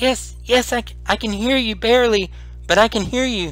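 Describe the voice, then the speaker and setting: A man's put-on character voice, high-pitched, with big swings in loudness and music in the background. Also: moderate pace. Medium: actual play.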